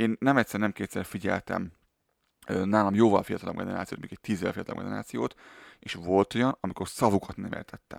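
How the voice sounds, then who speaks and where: A man with a fairly low pitch and ordinary pitch variation speaks at a very fast pace, with big swings in loudness. The recording is very clean, with a silent background and a dry, close sound with no echo. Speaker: podcast co-host. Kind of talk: casual chat.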